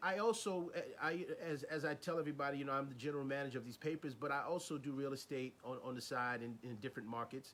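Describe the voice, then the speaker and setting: Speaking very fast with a New York accent, the man has a fairly high pitch and ordinary pitch variation. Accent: New York City. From New York City, the Bronx. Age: young. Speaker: interviewer, newspaper manager. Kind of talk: interview.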